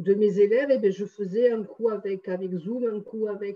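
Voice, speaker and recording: A woman talks in a fairly high pitch at a moderate pace. Her pitch varies in an ordinary way. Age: 60s. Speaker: numerologist and energy healer. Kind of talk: testimony interview. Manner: hesitant, many fillers.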